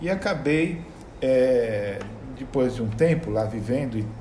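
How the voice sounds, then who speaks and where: A man speaks with ordinary pitch variation, and the recording has audible room echo and noticeable background noise. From Brazil, São Paulo state (ABC region, São Caetano do Sul). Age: 60s. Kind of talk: interview conversation.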